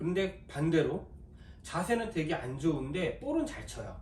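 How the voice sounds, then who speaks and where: A man with a high-pitched voice speaks in a room with audible echo. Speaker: golf fitter and instructor. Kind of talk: video tutorial. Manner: talkative, long-winded explaining.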